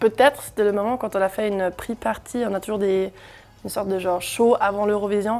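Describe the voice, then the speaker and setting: Here is a woman with a German accent. Her pitch is medium and her intonation fairly even. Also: fairly quick pace. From Germany. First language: German (speaking French). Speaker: singer. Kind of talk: interview. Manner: hesitant, many fillers.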